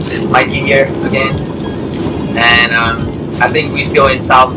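A man speaks with music in the background. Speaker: passenger vlogger. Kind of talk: casual vlog chat. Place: car. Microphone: phone near.

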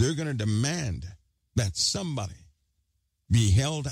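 A somewhat breathy man's voice makes very wide pitch swings in a very clean recording with a silent background. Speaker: online commentator. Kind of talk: casual monologue to viewers.

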